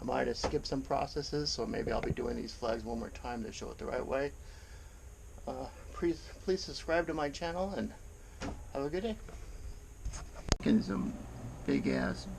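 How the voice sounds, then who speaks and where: Long, frequent pauses break up the man's moderate-paced speech. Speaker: woodworking YouTuber. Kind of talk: casual tutorial. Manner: casual, hesitant with fillers.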